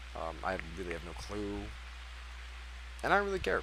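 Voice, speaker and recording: At a fairly quick pace, a man with a very deep, low pitch makes very wide pitch swings amid audible room echo. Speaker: speedrunner. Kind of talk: post-run commentary. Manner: fast; casual, hesitant with fillers.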